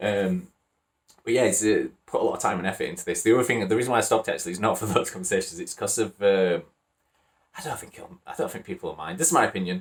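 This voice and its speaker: Here a man speaks with a West Yorkshire accent. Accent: Wakefield, West Yorkshire. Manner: hesitant, many fillers.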